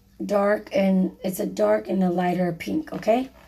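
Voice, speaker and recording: Over noticeable background noise, a woman speaks fairly slowly in a fairly low pitch with lively intonation. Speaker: DIY crafter, video creator. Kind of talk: tutorial. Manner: casual, halting with fillers.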